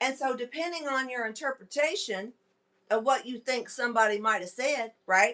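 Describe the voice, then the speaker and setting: Bright and sharp in tone, a woman speaks at a moderate pace and a high pitch. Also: ordinary pitch variation. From Kentucky. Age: 40s. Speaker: podcast host. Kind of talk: live stream chat. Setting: live stream with camera and microphone. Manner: casual, chatty.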